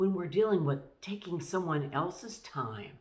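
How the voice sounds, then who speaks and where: A somewhat breathy woman speaks with ordinary pitch variation amid audible room echo. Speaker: pastor. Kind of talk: devotional talk.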